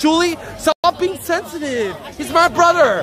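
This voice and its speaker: Faint music sits in the background as the speaker moves at a moderate pace, with a dry sound and no echo. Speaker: IRL streamer. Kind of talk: casual vlog chat. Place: street. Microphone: phone near.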